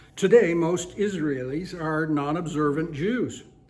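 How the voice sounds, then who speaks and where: Audible room echo and noticeable background noise surround a man speaking at a high pitch. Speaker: Bible teacher. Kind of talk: Bible study lecture.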